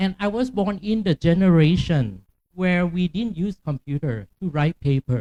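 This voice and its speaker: Speaking at a fairly slow pace with a Thai accent, a man has a high pitch and a dark, mellow tone, recorded with a dry, close sound and no echo. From Thailand, Chiang Mai. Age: 50s. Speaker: academic keynote speaker. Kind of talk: keynote lecture. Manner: deliberately slow.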